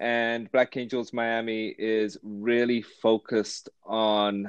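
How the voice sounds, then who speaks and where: Delivered in a flat monotone, the voice has a dry, close sound with no echo. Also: man. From London, England. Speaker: angel investment executive director. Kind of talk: podcast interview.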